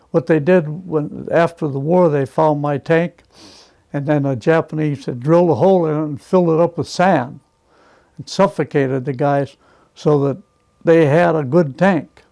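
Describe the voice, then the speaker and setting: At a moderate pace, a man with a fairly high pitch and a dark, mellow tone keeps his intonation fairly even. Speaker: war veteran, former prisoner of war. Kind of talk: interview answer.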